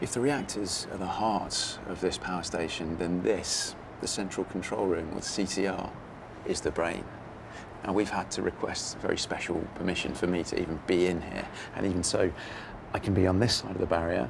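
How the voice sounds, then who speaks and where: In a room with audible echo, a man speaks quietly at a moderate pace, his very deep, low voice keeping a fairly even intonation. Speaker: TV presenter and engineer. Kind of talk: documentary presenting. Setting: on location at power station. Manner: quiet, hushed.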